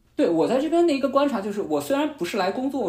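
Audible room echo around a man's voice, its pitch swinging very widely. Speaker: podcast host, former media worker, student. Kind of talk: casual chat.

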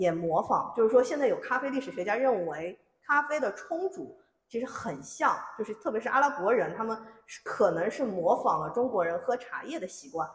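Her fairly high voice swings very widely in pitch as this woman speaks at a moderate pace. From Shanghai. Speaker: history editor. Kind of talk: public talk.

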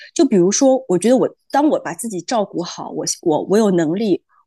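A woman talks at a fairly quick pace in a fairly high pitch, her voice making very wide pitch swings. The background is quiet. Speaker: podcast co-host. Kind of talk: casual chat.

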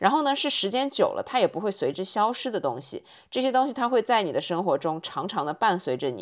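A woman speaks at a very fast pace with hardly any pauses, her pitch swinging very widely and her voice showing vocal fry. The recording is very clean, with a silent background. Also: fairly high pitch for a woman. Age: 30s. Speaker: podcast host. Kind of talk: casual monologue. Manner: conversational.

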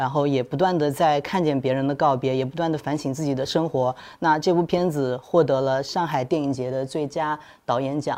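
Against a quiet background, the talking moves at a fairly quick pace. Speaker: podcast host and magazine editor. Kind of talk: interview, moderating a live discussion. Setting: livestream studio.

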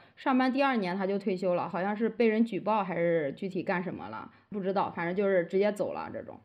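Lively intonation marks a woman's ordinary speaking voice. She talks at a medium pitch and a fairly quick pace. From Henan, rural China. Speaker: rural primary school teacher. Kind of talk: casual interview conversation.

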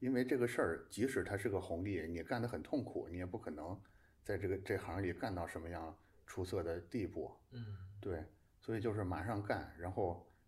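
Somewhat breathy, a man speaks at a very deep, low pitch. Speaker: design community editor-in-chief and podcast host. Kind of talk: casual conversational interview. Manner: hesitant, with repeated filler words.

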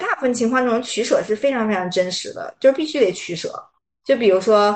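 With a fairly high pitch, this woman moves along at a fairly quick pace. Her pitch variation stays ordinary. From Beijing, China. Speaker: life coach. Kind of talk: interview conversation. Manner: hesitant, many fillers.

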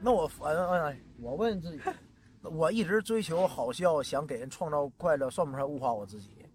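A man with a Northeastern Chinese accent at a moderate pace, his fairly high voice making very wide pitch swings and big swings in loudness. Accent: Northeastern Mandarin. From Northeast China. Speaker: stand-up comedian. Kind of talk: casual chat. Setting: outdoors by the roadside.

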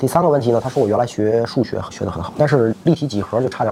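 A man talks at a very fast pace in a medium pitch. Noticeable background noise runs behind him. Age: 40s. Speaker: optometrist and eyewear shop owner. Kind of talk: interview chat.

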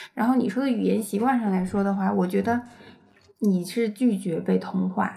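A woman at medium pitch and a moderate pace, with very even loudness, fairly even intonation and noticeable background noise. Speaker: podcast co-host, parent. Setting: home, child asleep nearby.

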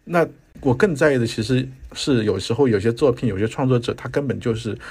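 A somewhat breathy man's voice at medium pitch and a moderate pace, with ordinary pitch variation, on a very clean recording with a silent background. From Guangzhou, China. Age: 40s. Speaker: theatre producer and critic. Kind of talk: casual chat.

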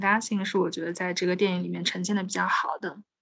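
In a plain, everyday voice, a woman speaks at a fairly quick pace with medium pitch and fairly even intonation. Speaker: podcast host. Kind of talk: casual chat.

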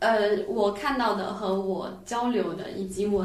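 A woman's medium-pitched voice, fairly even in intonation, comes through noticeable background noise and audible room echo. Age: 20s. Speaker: amateur sport climber. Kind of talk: casual chat.

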